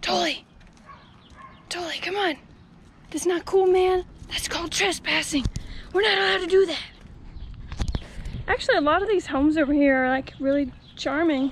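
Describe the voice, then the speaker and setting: At an extremely high pitch, a woman speaks at a moderate pace with ordinary pitch variation and long, frequent pauses, in a dry sound with no echo and light background noise. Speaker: vlogger. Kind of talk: casual vlog chat. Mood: playful, self-mocking. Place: street. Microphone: phone near.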